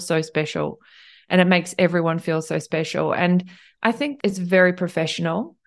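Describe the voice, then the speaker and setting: This woman speaks with a New Zealand accent at a medium pitch. Her pace is moderate. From New Zealand, Tauranga and Cambridge. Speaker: hotel general manager. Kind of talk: interview.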